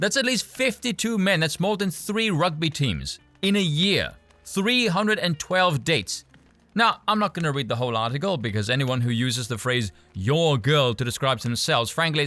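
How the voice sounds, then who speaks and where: Backed by music in the background, a man with a fairly high pitch talks at a moderate pace with very wide pitch swings. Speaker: commentator reading and reacting to an article. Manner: sarcastic, mocking.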